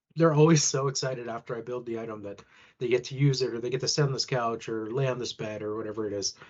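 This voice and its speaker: Using an ordinary speaking voice, a man talks at a fairly quick pace with a medium pitch and fairly even intonation. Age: 30s. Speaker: furniture assembler and retail team lead. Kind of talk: interview.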